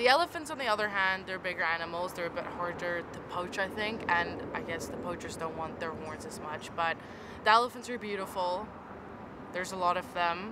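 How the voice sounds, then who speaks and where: A woman's medium-pitched voice with ordinary pitch variation at a fairly quick pace, amid audible room echo and noticeable background noise. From South Africa. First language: Afrikaans. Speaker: interviewee. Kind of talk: casual interview.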